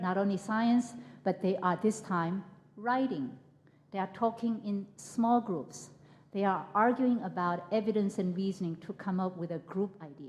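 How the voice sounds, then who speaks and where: A woman with a medium pitch speaks in a somewhat breathy voice. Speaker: professor. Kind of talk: keynote lecture. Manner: halting, repeats words.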